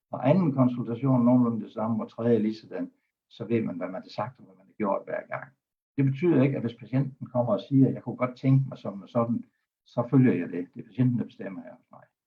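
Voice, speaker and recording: Somewhat breathy and fairly quick, a man speaks at medium pitch with ordinary pitch variation and big swings in loudness. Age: 70s. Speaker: doctor and hypnotherapist. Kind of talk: talk on a web broadcast.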